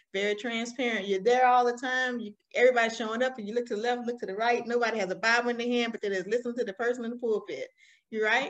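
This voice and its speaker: A very fast, animated delivery with an American accent. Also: woman, fairly high pitch for a woman. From Alabama, US South. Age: 40s. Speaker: small business owner and motivational speaker. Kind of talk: podcast interview.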